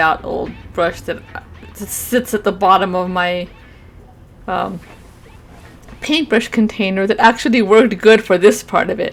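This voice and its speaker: Over background music, a woman speaks at a moderate pace and medium pitch. She uses ordinary pitch variation and long, frequent pauses. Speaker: gamer and artist streamer. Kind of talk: voiceover narration of painting.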